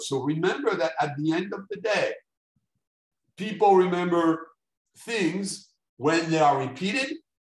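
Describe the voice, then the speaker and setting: He speaks with a French accent and a high pitch. His pitch varies in an ordinary way. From France. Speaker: neuromarketing expert, speaker. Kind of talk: lecture.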